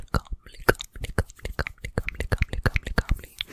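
Soft-spoken whispering by a woman at a moderate pace. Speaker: ASMR creator. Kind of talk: soft whispered ASMR chat. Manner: soft repeated whisper, calming. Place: home room. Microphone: studio mic.

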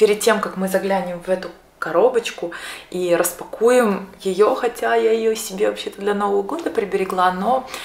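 Audible room echo and light background noise surround the speaker. A woman talks at a moderate pace. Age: 30s. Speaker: beauty vlogger. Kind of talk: product unboxing. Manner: casual, some filler hesitations. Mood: cheerful, enthusiastic. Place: home room.

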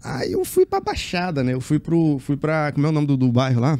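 Moderate pace and ordinary pitch variation. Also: man. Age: 40s. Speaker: circus acrobat; interview guest. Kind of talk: interview. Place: studio. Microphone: studio mic.

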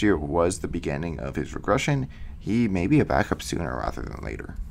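There is vocal fry in this man's voice as he speaks at a fairly quick pace. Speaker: football podcast host. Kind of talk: solo podcast analysis. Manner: fillers, reading prepared notes.

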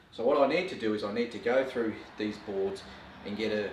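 Light background noise and audible room echo can be heard. A man with a fairly low pitch talks at a fairly quick pace. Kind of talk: tutorial. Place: workshop.

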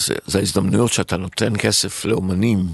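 A man talks at a moderate pace in a very deep, low voice with ordinary pitch variation. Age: 60s. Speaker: restaurateur and entrepreneur. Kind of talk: interview.

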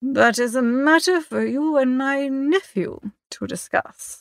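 A put-on character voice with vocal fry, a fairly bright tone and ordinary pitch variation. It moves at a slow pace in a dry, close sound with no echo.

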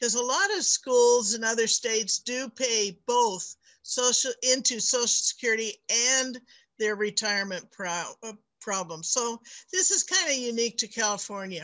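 A woman's unremarkable speaking voice, moderate in pace, with lively intonation. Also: fairly high pitch for a woman. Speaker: adjunct instructor and board member. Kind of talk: meeting presentation. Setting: video call.

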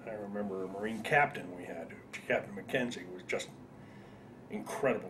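Speaking at a moderate pace with an American accent, a man is heard over noticeable background noise. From northern New Jersey. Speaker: war veteran. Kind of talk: oral history interview. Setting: veterans reunion. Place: home room.

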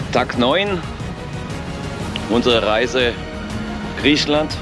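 Clear music plays behind a man speaking at a very slow pace. The sound is dry, with no echo. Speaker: travel vlogger. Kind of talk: casual vlog chat. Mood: cheerful, anticipating. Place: street. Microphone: phone near.

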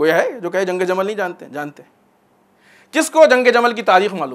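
The man's voice sits at a high pitch. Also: fairly bright tone.

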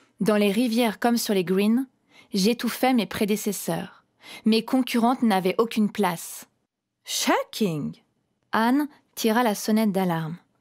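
Over a very clean recording with a silent background, a woman with a fairly high pitch and ordinary pitch variation speaks at a fairly slow pace with very even loudness and long, frequent pauses. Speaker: storyteller performer. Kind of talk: dramatic first-person narration as the knotweed plant. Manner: theatrical, clipped declarative phrasing; slow, ceremonial, solemn address.

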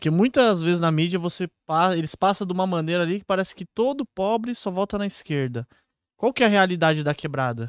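Lively intonation and a fairly quick pace come in a Brazilian accent, recorded dry with no echo against a quiet background. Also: man, high pitch for a man. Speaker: investing YouTuber. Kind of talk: casual chat. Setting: live stream. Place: studio. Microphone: studio mic.

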